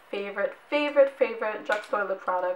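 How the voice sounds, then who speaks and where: Noticeable background noise sits behind the voice. A woman speaks with a fairly high pitch. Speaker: beauty vlogger. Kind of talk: product review vlog. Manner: casual, chatty.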